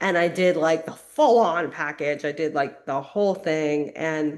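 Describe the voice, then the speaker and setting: A woman talks at a moderate pace with a fairly low voice. It is a plain, everyday voice. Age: 50s. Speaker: transformational coach. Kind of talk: casual chat. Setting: podcast interview.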